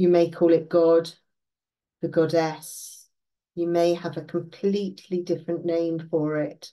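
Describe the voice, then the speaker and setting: Against a quiet background, a woman speaks at a fairly low pitch in a dark, mellow, gentle, soothing tone with monotone, flat intonation. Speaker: meditation guide. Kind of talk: guided meditation. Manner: slow, soothing, calm; gentle, unhurried, with long pauses. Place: home room. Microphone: webcam.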